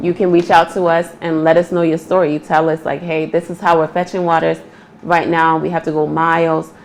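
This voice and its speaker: A woman's fairly low voice with an American accent, monotone and flat in intonation, at a fairly quick pace amid noticeable background noise. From northern Nigeria, Kano. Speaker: entrepreneur. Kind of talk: interview. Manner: fast.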